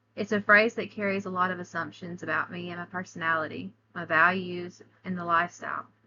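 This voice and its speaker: Talking at a very fast pace, a woman with a Southern US accent speaks in a flat monotone with a fairly low pitch, a bright, sharp tone and big swings in loudness. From US South, Alabama. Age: 30s. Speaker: college student. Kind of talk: class presentation.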